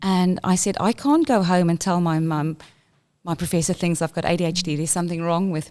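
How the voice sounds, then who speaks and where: A woman with a South African accent talks at a fairly quick pace in a fairly low pitch with fairly even intonation, on a very clean recording with a silent background. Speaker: school inclusion leader. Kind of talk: interview.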